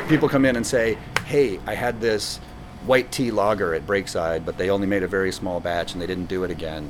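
Very deep, low male voice at a fairly quick pace, ordinary pitch variation, and noticeable background noise. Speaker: brewery owner and former teacher. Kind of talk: interview answers, casual conversation. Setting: brewery pub.

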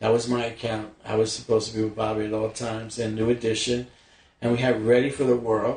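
Somewhat breathy and delivered at a very fast pace, the voice has an American accent and a monotone, flat intonation. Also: man, medium pitch for a man. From New York City (Bronx). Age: 60s. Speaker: actor. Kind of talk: casual chat. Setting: at home.

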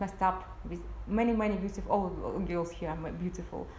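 Background noise is noticeable behind a woman's voice. She speaks at a medium pitch and a moderate pace. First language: Ukrainian or Russian. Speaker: marriage agency owner. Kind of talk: casual interview-style video chat. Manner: halting, frequent hesitations.

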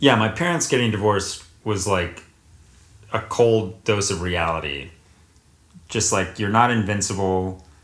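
Speaking in an American accent at a fairly slow pace, the voice shows ordinary pitch variation and long, frequent pauses, with audible room echo. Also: man, fairly low pitch for a man. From US South, North Carolina. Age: 20s. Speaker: actor. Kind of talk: casual chat.

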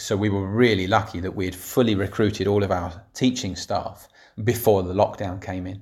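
On a very clean recording with a silent background, a man with a London accent talks at a moderate pace in a fairly low, somewhat breathy voice with monotone, flat intonation. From north London, England. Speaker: secondary school head teacher. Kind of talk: reflective monologue.

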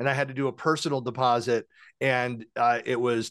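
Against a quiet background, a man with an American accent talks at a fairly quick pace in a plain, everyday voice, medium in pitch with fairly even intonation, the sound dry and close with no echo. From western US. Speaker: podcast host. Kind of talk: casual interview.

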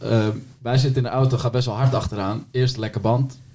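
At a moderate tempo, the speaker sounds somewhat breathy. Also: man. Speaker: podcast host. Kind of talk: casual chat.

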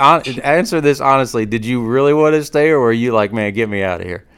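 In an ordinary speaking voice, a man talks at a fairly quick pace and medium pitch with ordinary pitch variation. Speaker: basketball podcast host. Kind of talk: casual interview. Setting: remote call.

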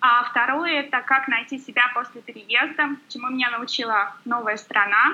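Over noticeable background noise, a woman talks at a moderate pace in a high voice with fairly even intonation. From Volga region, Russia. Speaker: blogger. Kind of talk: podcast interview.

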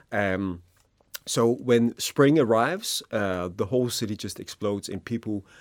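The recording is very clean with a silent background. A man speaks at a fairly slow pace. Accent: Danish. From Denmark. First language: Danish. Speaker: happiness researcher. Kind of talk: interview.

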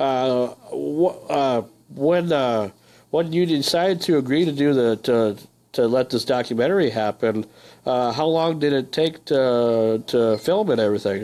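This man has an ordinary speaking voice at a medium pitch with ordinary pitch variation. The recording is very clean with a silent background. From northern Minnesota. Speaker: radio host. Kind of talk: casual interview. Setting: radio studio.

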